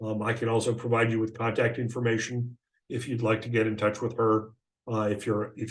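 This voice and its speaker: Fairly quick, monotone speech from a man of medium pitch, somewhat breathy, with flat intonation. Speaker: software trainer. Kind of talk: webinar tutorial. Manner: fast; hesitant fillers.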